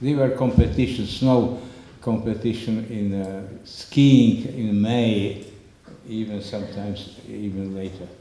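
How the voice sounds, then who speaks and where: A man with a Slovak accent at a medium pitch and a very slow pace, with ordinary pitch variation, audible room echo and noticeable background noise. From Slovakia, northern mountains. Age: 90s. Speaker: Holocaust survivor speaker. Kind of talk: public talk with slides. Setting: community center with audience. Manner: halting.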